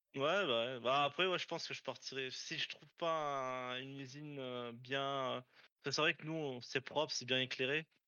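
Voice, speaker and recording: In an ordinary speaking voice, a man talks at a fairly slow pace with a fairly high pitch and fairly even intonation. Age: 20s. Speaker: aerospace factory worker. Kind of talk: casual interview.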